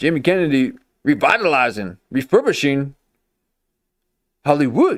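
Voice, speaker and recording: A man with a fairly high pitch speaks at a moderate pace, leaving long, frequent pauses. His intonation is lively. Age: 40s. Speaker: livestream reaction commentator. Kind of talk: casual reaction commentary.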